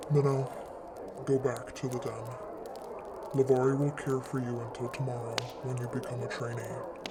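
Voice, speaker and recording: A man uses a put-on character voice, with long, frequent pauses. Loud background noise runs underneath. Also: medium pitch for a man, moderate pace. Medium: read story. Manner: commanding, clipped.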